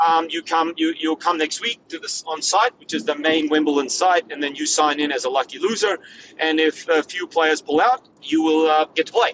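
Measured, middling-speed speech from a man with an Australian accent. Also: fairly high pitch for a man, ordinary pitch variation. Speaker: former pro tennis player. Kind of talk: casual interview chat.

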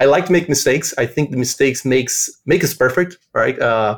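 At a moderate pace, a man talks in a plain, everyday voice of medium pitch. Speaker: developer advocate. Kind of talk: casual chat.

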